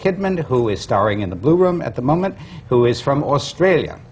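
A man with an American accent speaks with lively intonation. Noticeable background noise runs under his voice. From Connecticut, US. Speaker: moderator. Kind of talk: panel moderating.

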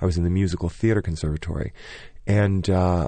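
Against a quiet background, a man with an American accent speaks at a fairly quick pace with a very deep, low pitch, a dark, mellow tone and fairly even intonation. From US Midwest, small-town Michigan. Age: 40s. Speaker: Broadway choreographer and director. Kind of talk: interview.

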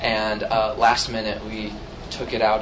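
A fairly low-pitched man with an American accent at a fairly slow pace, with noticeable background noise and audible room echo. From US Midwest, St. Louis, Missouri. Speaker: theatre director and choreographer. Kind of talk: panel discussion.

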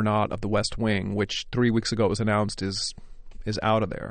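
A man with an American accent talks at medium pitch and a moderate pace in an unremarkable speaking voice. The background is quiet. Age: 40s. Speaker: stage actor. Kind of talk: interview.

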